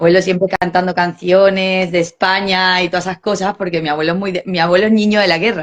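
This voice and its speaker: A woman at a medium pitch talks at a very fast pace with hardly any pauses and big swings in loudness. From Chile, then Peru from age 10. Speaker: mother interviewed about multicultural family. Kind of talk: casual interview chat. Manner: animated, many false starts.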